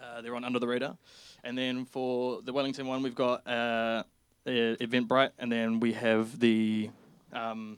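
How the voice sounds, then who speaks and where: A man at a medium pitch and moderate pace, in a monotone, flat intonation, on a very clean recording with a silent background. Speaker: band member. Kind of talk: casual chat. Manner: halting.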